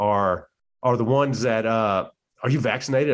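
A man with a Louisiana accent speaks with ordinary pitch variation in a very clean recording with a silent background. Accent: Southern US (Louisiana). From US South, central Louisiana. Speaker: retired Navy chief, podcaster. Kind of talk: casual chat.

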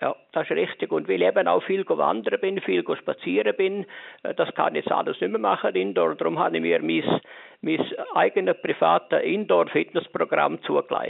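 A man with a Lucerne accent, very even loudness and a moderate pace. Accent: Swiss German (Lucerne). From Switzerland, canton of Lucerne. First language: Swiss German (speaking German). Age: 70s. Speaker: visually and hearing impaired retiree. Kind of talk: interview. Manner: halting.

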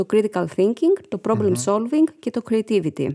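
A woman with a fairly high pitch speaks in a dark, mellow tone, recorded dry and close with no echo, very clean against a silent background. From Greece, village near Missolonghi. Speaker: nonprofit founder. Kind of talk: interview.

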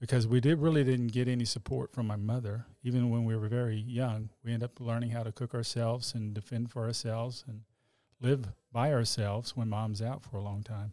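A man with a Texan accent speaks at a medium pitch. His tone is dark and mellow, with monotone, flat intonation. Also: fairly quick pace. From Texas, Oak Cliff (Dallas). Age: 60s. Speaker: accident survivor, church worship singer. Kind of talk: testimony.

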